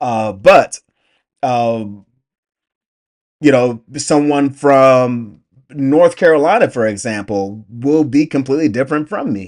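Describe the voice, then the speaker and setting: Speaking very slowly with long, frequent pauses, a man with a medium pitch talks in an Atlanta accent. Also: lively intonation. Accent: Southern US (Atlanta). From US South, Atlanta, Georgia. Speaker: YouTube reactor. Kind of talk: casual reaction commentary. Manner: halting, many repetitions and fillers.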